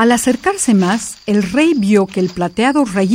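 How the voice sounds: The intonation moves in a lively way. It is a natural reading voice.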